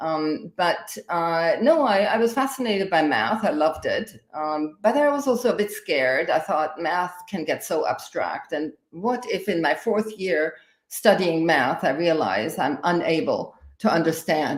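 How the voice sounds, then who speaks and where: Speaking with a German accent, a woman keeps a fairly slow pace and lively intonation. She hardly pauses at all. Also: fairly low pitch for a woman. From Austria. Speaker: higher education in emergencies expert. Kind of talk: live interview podcast. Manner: halting, many fillers.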